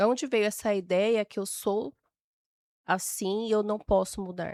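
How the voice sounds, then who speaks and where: A woman at a medium pitch and fairly slow pace, in a very clean recording with a silent background and a dry, close sound with no echo. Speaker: temperament expert, podcast guest. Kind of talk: interview conversation.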